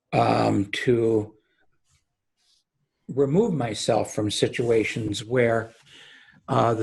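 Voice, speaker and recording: Vocal fry with ordinary pitch variation. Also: man. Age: 70s. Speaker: real estate securities lawyer. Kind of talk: podcast interview. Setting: video call. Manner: halting.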